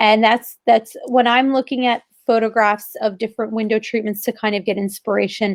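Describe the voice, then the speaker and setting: With an American accent, a woman speaks at a moderate pace in a fairly high, monotone, flat voice with hardly any pauses, recorded with a dry, close sound and no echo. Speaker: interior designer, co-host. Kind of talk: casual chat. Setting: live stream video. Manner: conversational with many fillers.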